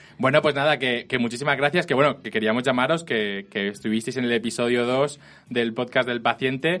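A man's ordinary speaking voice, medium in pitch, with ordinary pitch variation and a fairly quick pace. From Spain, Elche. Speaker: podcast host. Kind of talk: casual chat. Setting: studio.

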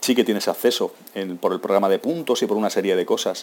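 This man's pitch is fairly low. He talks at a fairly quick pace. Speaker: travel podcaster. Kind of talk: casual monologue. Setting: airport.

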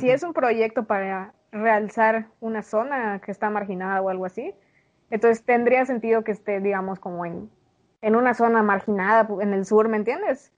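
A woman speaks at a moderate pace in a plain, everyday voice. Her pitch is fairly high, with ordinary pitch variation. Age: 20s. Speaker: podcast co-host. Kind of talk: casual chat.

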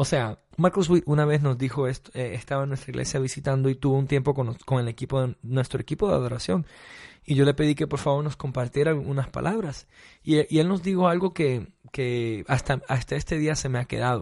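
Against a quiet background, a man speaks at a fairly quick pace in a somewhat breathy, fairly high voice. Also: ordinary pitch variation. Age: 30s. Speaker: worship pastor. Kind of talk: interview. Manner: hesitant, many fillers.

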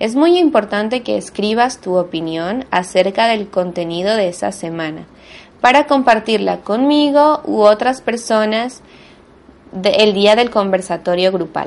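Using an ordinary speaking voice, a woman talks at a fairly slow pace with a fairly high pitch and lively intonation. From Venezuela. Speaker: language teacher and podcast host. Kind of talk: monologue lesson for Spanish learners. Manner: clear, deliberate for learners.

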